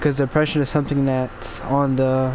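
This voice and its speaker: Noticeable background noise sits behind this man. He speaks at a moderate pace and a fairly high pitch. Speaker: podcaster and gamer. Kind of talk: casual talk while gameplay. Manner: halting, stumbling over words.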